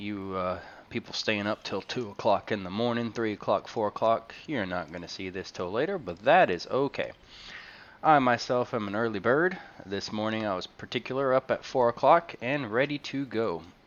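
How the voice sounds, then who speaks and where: A soft-spoken man talks at a moderate pace with medium pitch and lively intonation. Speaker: game streamer. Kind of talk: live gameplay stream commentary. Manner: hesitant, many fillers.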